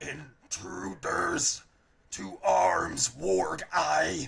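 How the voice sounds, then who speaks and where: A man puts on a growling character voice. He pitches it fairly low. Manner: loud, alarmed shout.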